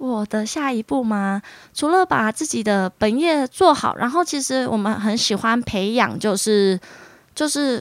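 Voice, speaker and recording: In a dry, close sound with no echo, a woman speaks fairly slowly at a fairly high pitch, her pitch swinging very widely. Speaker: dentist. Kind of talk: casual interview.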